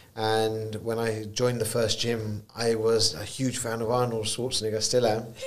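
Speaking in a British accent at a moderate pace with hardly any pauses, a man keeps a medium pitch and monotone, flat intonation amid noticeable background noise and audible room echo. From UK, Punjabi Indian family. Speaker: entrepreneur. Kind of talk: interview.

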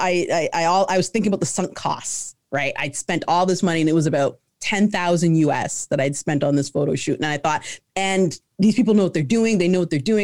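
A plain, everyday voice from a woman, fairly low in pitch, with lively intonation and a fairly quick pace. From Canada. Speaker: entrepreneur. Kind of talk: interview.

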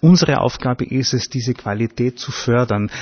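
A man speaks at medium pitch, somewhat breathy. He talks at a moderate pace. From Upper Austria. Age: 60s. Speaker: festival organizer. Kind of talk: interview.

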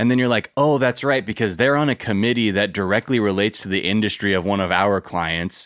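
A man with a fairly low pitch speaks in an animated tone at a fairly quick pace. His loudness stays very even, and his pitch varies in an ordinary way. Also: hardly any pauses. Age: 30s. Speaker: podcast host and former political organizer. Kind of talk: casual chat. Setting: video call.

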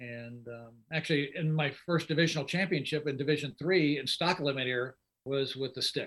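With an American accent and a normal speaking voice, a man talks at a moderate pace at a fairly high pitch, his intonation fairly even. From Indianapolis, US Midwest. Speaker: drag racer. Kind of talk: casual chat.

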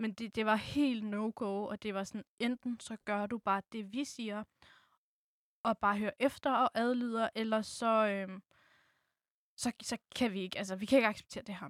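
The recording is very clean, dry and close, with a silent background and no echo. A woman speaks at a fairly slow pace. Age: 20s. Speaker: student. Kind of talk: personal interview.

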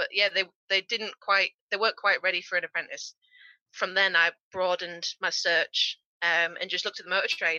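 At a fairly quick pace, a woman with a Yorkshire accent speaks at a medium pitch with fairly even intonation. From Yorkshire, northern England. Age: 20s. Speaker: car body repair technician. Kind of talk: interview. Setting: remote call.

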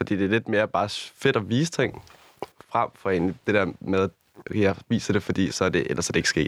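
Speaking at a moderate pace, a man with a plain, everyday voice keeps a fairly low pitch, ordinary pitch variation and very even loudness, with a dry, close sound with no echo. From Copenhagen area, Denmark. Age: 20s. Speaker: influencer and nightclub promoter. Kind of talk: casual interview.

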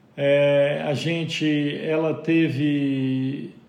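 A man's fairly high-pitched voice carries fairly even intonation, with audible room echo around it. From Minas Gerais, Brazil (João Pinheiro, northwest). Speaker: business owner. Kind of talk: interview.

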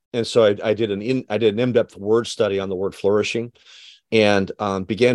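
A man speaks very fast in a fairly low, monotone voice with flat intonation. The sound is dry and close with no echo, and the background is quiet. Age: 40s. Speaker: author and leadership consultant. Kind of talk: interview conversation. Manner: halting, many fillers.

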